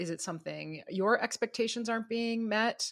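The recording is very clean, with total silence behind the voice. A woman's pitch leaps across a very broad range as she talks at a medium tempo. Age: 50s. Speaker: teacher, podcast co-host. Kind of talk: casual chat.

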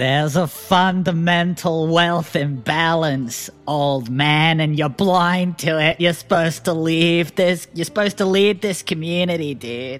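Using a put-on character voice, the speaker drawls at a fairly slow pace and middle pitch with hardly any pauses. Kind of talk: comic overacting. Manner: slacker drawl, indignant, ends lines with "man" and "dude".

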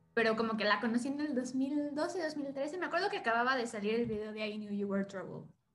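A woman with a high voice speaks at a fairly quick pace with lively intonation and hardly any pauses. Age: 20s. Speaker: film student and content creator. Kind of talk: casual chat.

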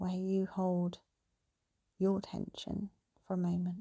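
With a British accent, this voice has a calm, soothing tone and takes long, frequent pauses. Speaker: meditation guide. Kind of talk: guided meditation. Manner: calm, slow, soothing; gentle, reassuring.

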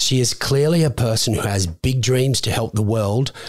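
Speaking at a moderate pace with ordinary pitch variation, a man has a plain, everyday voice. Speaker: podcast co-host. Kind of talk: casual interview.

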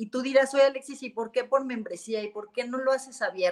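A woman speaks at a fairly high pitch with a Mexican accent. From Mexico (Jalisco). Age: 40s. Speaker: businesswoman in luxury sector. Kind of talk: interview.

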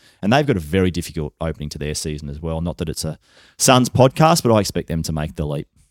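Speaking at a very fast pace with a very deep, low pitch, a man with an Australian accent is heard in a very clean recording with a silent background and a dry, close sound with no echo. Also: lively intonation. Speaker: football journalist. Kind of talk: casual chat. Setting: studio.

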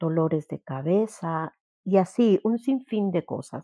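Lively intonation carries a woman's medium-pitched voice. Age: 50s. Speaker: grief therapist and workshop leader. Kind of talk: workshop talk.

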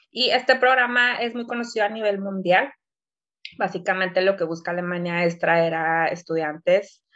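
A woman's bright, sharp voice at medium pitch, moderate pace and ordinary pitch variation, over a quiet background. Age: 20s. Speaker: podcast co-host. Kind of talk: casual chat.

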